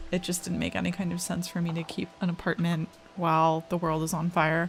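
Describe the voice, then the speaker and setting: A woman's fairly low voice, relaxed in tone, at a fairly quick pace with monotone, flat intonation and music in the background. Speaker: digital artist. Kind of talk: casual storytime over speedpaint. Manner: relaxed, chatty.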